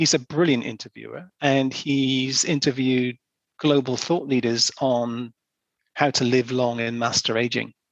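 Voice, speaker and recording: A man with a normal speaking voice talks at a medium pitch. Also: fairly even intonation. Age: 60s. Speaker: marketing director. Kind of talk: podcast interview.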